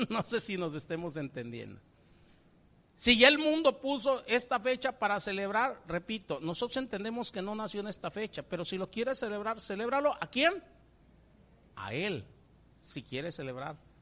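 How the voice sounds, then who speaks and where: The speaker's tone is warm, and a moderate pace is broken by long, frequent pauses. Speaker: preacher. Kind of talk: sermon. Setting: church. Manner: warm, earnest, preaching with repeated fillers and rhetorical questions; halting, with frequent fillers.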